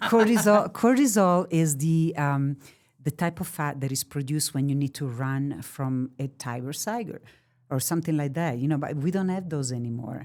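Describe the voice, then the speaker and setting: This woman has a very deep, low pitch and an Italian accent, with ordinary pitch variation. She talks at a moderate pace on a very clean recording with a silent background. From Italy. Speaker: therapy dog expert. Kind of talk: podcast interview. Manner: halting; animated.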